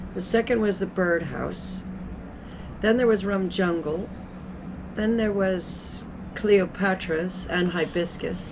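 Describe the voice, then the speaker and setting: A woman's medium-pitched voice at a very slow pace, broken by long, frequent pauses, with noticeable background noise. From Antigua. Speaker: innkeeper. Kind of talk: interview answer. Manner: casual, chatty.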